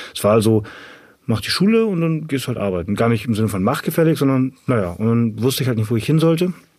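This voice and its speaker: The intonation is lively. The words come out very fast. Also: man, medium pitch for a man. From northern Germany, Ahrensburg near Hamburg. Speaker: personal trainer and CrossFit athlete. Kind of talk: interview, casual chat.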